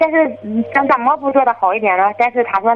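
Against noticeable background noise, a woman with a fairly high voice talks at a fairly quick pace with ordinary pitch variation. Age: 30s. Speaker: caller, furniture shop owner. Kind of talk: phone-in confession.

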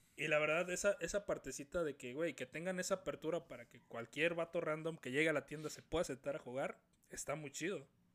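Fairly quick in pace, a man talks in a fairly high pitch with ordinary pitch variation and big swings in loudness. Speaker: podcast host. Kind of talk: casual chat. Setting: call.

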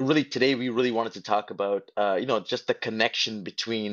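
A plain, everyday voice from a man, medium in pitch, with fairly even intonation at a moderate pace. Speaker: podcast host, motivational speaker. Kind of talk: live audio room conversation. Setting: live online audio room.

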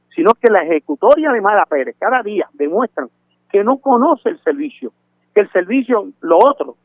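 This man talks at a moderate pace, his pitch swinging very widely. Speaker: community activist. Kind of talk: phone interview. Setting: phone call.

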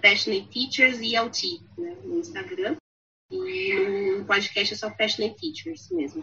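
A woman's voice with very wide pitch swings. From Brazil. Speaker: English teacher. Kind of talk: casual chat.

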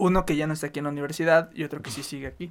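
On a very clean recording with a silent background, a man with a fairly high pitch talks at a very fast pace. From Chihuahua, northern Mexico. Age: 20s. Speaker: university student. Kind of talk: casual chat.

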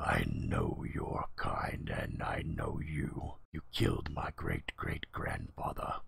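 A put-on character voice from a man, very deep and low, growling and raspy, at a very slow pace. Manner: hostile, accusing.

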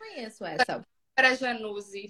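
Her voice sits high for a woman. She sounds bright and sharp. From Brazil, Minas Gerais (Ipatinga). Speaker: mother sharing baby feeding experience. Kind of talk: casual chat.

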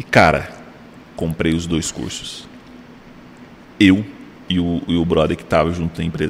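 With a very deep, low pitch, a man talks at a moderate pace using fairly even intonation. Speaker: podcast host. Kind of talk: casual chat.

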